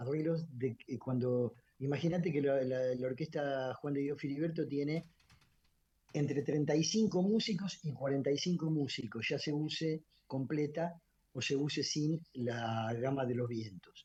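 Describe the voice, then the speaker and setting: A man speaks with a fairly high pitch and ordinary pitch variation. His tone is dark and mellow, and somewhat breathy. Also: fairly slow pace. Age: 70s. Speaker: orchestra conductor and musician. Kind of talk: radio interview. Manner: halting, many fillers and repetitions.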